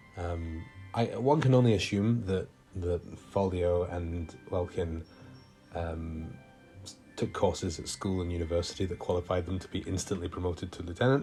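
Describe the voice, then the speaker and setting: With music in the background, a man talks at a moderate pace in a very deep, low pitch with ordinary pitch variation. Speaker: video game let's play host. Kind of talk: casual gameplay commentary. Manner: hesitant, many fillers.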